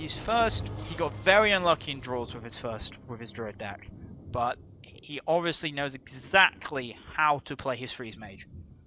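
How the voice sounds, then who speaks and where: With lively intonation and big swings in loudness, a man speaks at a fairly slow pace in a medium pitch. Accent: British. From UK. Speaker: esports caster. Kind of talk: live commentary. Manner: halting.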